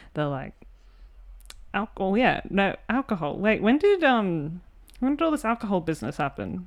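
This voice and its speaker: A woman with an Australian accent speaks at medium pitch with very wide pitch swings. Her pace is moderate with long, frequent pauses, over a quiet background. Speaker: podcast host. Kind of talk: casual chat.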